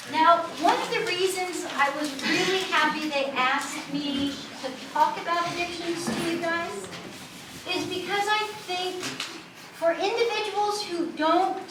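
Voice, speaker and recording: An American-accented woman with an extremely high pitch and ordinary pitch variation speaks at a fairly slow pace, with noticeable background noise and audible room echo around her. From USA. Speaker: university student services staff. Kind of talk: lecture.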